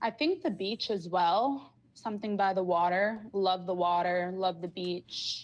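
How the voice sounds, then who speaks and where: This is an ordinary speaking voice with ordinary pitch variation. The pace is fairly slow, with hardly any pauses. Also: woman, medium pitch for a woman. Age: 20s. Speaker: caller. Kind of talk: casual chat.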